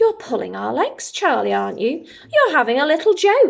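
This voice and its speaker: This woman puts on a character voice, raised and projected, pitched high. She moves at a moderate pace. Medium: read story.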